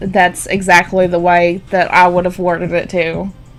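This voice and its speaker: Music sounds in the background as the speaker talks at a moderate pace. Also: woman. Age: 20s. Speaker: streamer. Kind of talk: casual chat. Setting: live stream.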